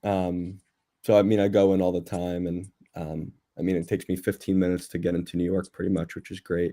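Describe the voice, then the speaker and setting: Over a silent background in a very clean recording, a man with a New Jersey accent talks at a fairly quick pace in a dark, mellow tone. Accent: New Jersey American. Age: 20s. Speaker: real estate investor. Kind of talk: casual chat. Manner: casual, halting.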